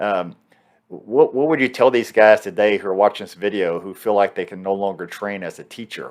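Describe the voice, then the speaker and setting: The voice is an unremarkable speaking voice with ordinary pitch variation. The background is quiet. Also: man. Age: 50s. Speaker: martial arts instructor and interviewer. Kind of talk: interview.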